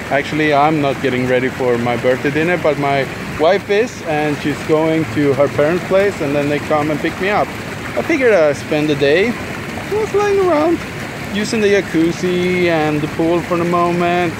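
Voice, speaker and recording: A man talks at a moderate pace with ordinary pitch variation. The sound is dry with no echo, and there is noticeable background noise. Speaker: vlogger. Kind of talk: casual vlog chat. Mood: relaxed, lazy. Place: waterside. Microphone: phone near.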